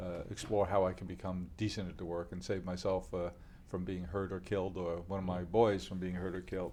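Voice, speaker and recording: A man's very deep, low voice, dark and mellow in tone, with a New York accent, a fairly quick pace and monotone, flat intonation. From New York City, Queens. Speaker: company founder. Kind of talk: interview. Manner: halting, many fillers.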